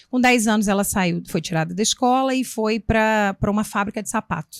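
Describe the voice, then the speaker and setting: The sound is dry and close with no echo as a woman talks at a fairly high pitch. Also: ordinary pitch variation, moderate pace, very clean recording, silent background. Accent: Minas Gerais. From Minas Gerais, Brazil. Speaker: municipal education secretary, former teacher and school principal. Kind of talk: interview.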